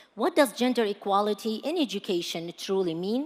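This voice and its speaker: A woman speaks with an American accent at a fairly slow pace. Her pitch swings very widely. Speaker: panel moderator. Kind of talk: panel moderation.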